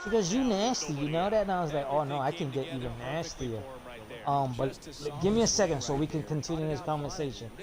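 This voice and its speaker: Amid audible room echo and noticeable background noise, a man talks at a very fast pace in a fairly high pitch with lively intonation. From New York. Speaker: gaming streamer. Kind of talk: casual chat. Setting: live stream. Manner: animated.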